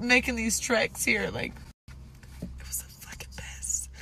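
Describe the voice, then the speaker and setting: A woman speaks at a fairly slow pace with an American accent. Her tone is bright and sharp. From Texas. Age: 30s. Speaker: country singer. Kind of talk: casual social media video diary. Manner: casual, halting with fillers.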